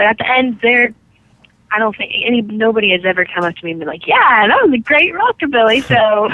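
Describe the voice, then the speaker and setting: A woman with a normal speaking voice talks at a fairly quick pace, her fairly high pitch moving with lively intonation. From California. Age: 20s. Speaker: rock singer and guitarist. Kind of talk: interview answer.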